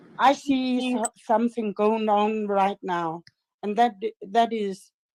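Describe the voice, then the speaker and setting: Speaking very slowly with long, frequent pauses, a woman with a Danish accent uses a fairly high voice in a dry, close recording with no echo. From Denmark. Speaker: live stream caller. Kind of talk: heated debate. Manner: halting.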